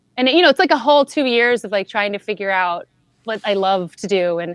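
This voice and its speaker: Recorded dry and close with no echo, a woman with a normal speaking voice and medium pitch talks at a fairly quick pace. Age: 30s. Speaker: podcast vocal coach. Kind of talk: casual chat.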